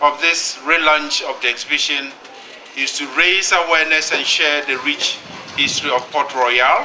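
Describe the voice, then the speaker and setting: Against noticeable background noise, the speech moves at a fairly slow pace with ordinary pitch variation. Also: man. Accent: Ghanaian. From Ghana. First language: Ghanaian language. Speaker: UN agency director. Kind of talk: formal speech. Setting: exhibition launch event with audience.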